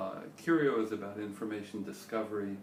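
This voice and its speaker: There is audible room echo and noticeable background noise. A man speaks at a moderate pace in a fairly low pitch. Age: 60s. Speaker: startup founder and CEO. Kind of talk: interview.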